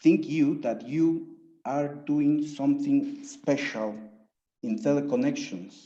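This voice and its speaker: With audible room echo, a man speaks with a Spanish accent at a very slow pace. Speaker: thesis jury member, researcher. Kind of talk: academic Q&A. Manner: halting.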